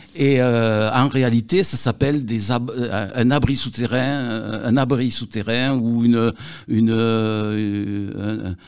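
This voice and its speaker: The pace is very slow. Intonation stays fairly even throughout. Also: man, medium pitch for a man. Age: 70s. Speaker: local historian, longtime resident. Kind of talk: interview. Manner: halting, many hesitations and repetitions.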